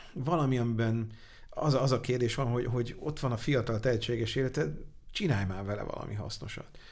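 Audible room echo surrounds a man who talks at a fairly quick pace but leaves long, frequent pauses. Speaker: angel investor. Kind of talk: interview. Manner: halting.

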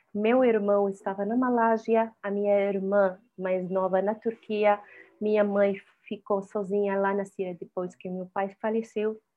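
Speaking at a fairly slow pace, a woman with medium pitch and fairly even intonation has an unremarkable speaking voice. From Syria. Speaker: singer. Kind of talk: interview.

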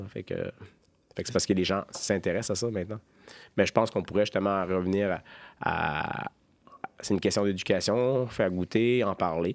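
Over a very clean recording with a silent background, a man speaks at a fairly low pitch and a moderate pace. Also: fairly even intonation. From Gaspésie, Quebec. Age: 40s. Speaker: microbrewery co-owner. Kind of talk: casual interview. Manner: halting, many repetitions.

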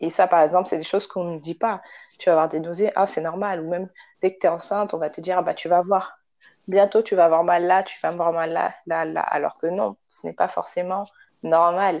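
A woman with an unremarkable speaking voice, fairly quick in pace and fairly even in intonation. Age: 20s. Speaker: doula. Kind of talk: casual interview.

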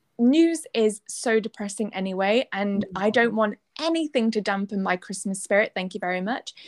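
In a British accent, a woman speaks with ordinary pitch variation. The sound is dry and close, with no echo. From UK. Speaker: podcast co-host. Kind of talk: casual chat.

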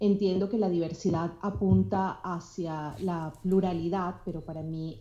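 A woman talks at a very slow pace. Her tone is dark and mellow. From Venezuela. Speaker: blogger. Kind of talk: casual chat.

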